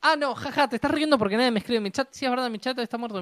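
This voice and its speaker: The voice has a Uruguayan accent and a dry, close sound with no echo. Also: woman. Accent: Rioplatense Spanish (Uruguayan). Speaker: podcast co-host, design student. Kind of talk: casual chat. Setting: live stream.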